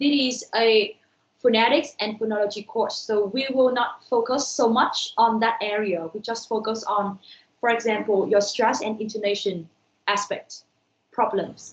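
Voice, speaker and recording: A woman's fairly high voice with a Vietnamese accent, at a fairly slow pace and with fairly even intonation. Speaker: university lecturer. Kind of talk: online lecture.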